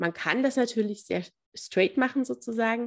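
Vocal fry colors a woman's voice as she speaks at a moderate pace with lively intonation. The recording is very clean, with a silent background. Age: 30s. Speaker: family counselor and mediator. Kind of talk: interview.

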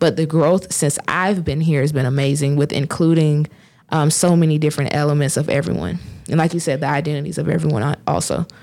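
A woman with a Southern US accent talks at a fairly quick pace in a very deep, low pitch, her dark, mellow tone holding fairly even intonation and very even loudness. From US South, south Georgia. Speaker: student commencement speaker. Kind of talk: casual chat.

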